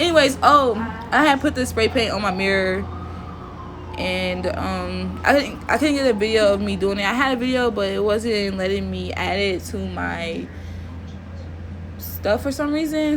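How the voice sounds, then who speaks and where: A woman with an American accent at a fairly slow pace, with long, frequent pauses and audible room echo. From Oklahoma, Tulsa. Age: 20s. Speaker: DIY video creator. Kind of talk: voiceover tutorial. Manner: casual, hesitant with fillers.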